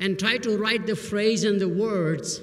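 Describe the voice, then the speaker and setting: The speech comes in an Indian accent at a fairly slow pace. Audible room echo and noticeable background noise fill the recording. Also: man. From Burma, Indian family. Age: 70s. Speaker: business professor. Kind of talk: commencement speech.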